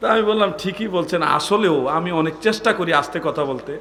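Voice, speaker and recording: A loud man speaks with audible room echo and noticeable background noise. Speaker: Islamic preacher. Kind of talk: sermon. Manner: impassioned, rising volume.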